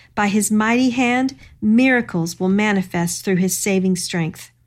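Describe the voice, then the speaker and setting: A plain, everyday voice moves at a moderate pace with ordinary pitch variation. The background is quiet. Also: woman. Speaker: co-host Bible teacher. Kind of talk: devotional Bible study discussion.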